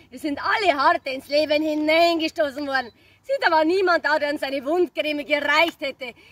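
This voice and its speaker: At a moderate pace and with big swings in loudness, the voice comes in a Bavarian accent. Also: woman, high pitch for a woman, ordinary pitch variation, dry sound with no echo. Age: 30s. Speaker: cabaret comedian. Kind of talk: stage cabaret performance. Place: open country. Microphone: camera far.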